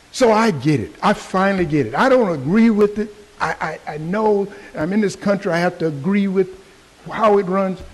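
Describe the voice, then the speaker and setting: Noticeable background noise surrounds this recording. A man with an American accent speaks at a high pitch. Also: ordinary pitch variation, moderate pace. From Texas, Fort Worth. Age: 70s. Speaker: public commenter, Vietnam veteran. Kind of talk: public comment at county meeting.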